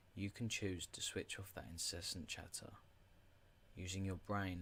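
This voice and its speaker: A soft-spoken man has a very deep, low pitch and sounds somewhat breathy. He talks at a fairly slow pace. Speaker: podcast host. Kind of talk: reading aloud.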